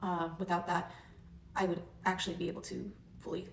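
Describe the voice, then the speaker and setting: A woman's medium-pitched voice with vocal fry. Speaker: chronic illness vlogger. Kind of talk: personal testimony. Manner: hesitant, many ums; occasional stutter.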